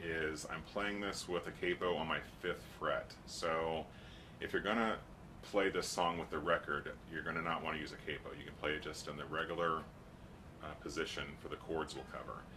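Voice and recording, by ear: Here a man speaks with an extremely low pitch. His pace is fairly quick and his intonation fairly even.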